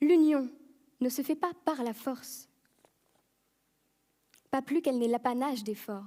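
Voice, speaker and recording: Speaking very slowly with long, frequent pauses, a woman uses a high, dark and mellow voice with ordinary pitch variation. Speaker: eloquence contest finalist. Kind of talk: competitive speech on stage. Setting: stage, live audience. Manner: humorous, self-deprecating.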